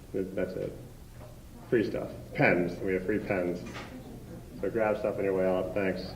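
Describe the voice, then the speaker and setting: Long, frequent pauses break up a man's fairly slow, fairly even speech in a very deep, low pitch, with audible room echo around him. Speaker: event host from hospital foundation. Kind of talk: event introduction speech. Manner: halting, many fillers.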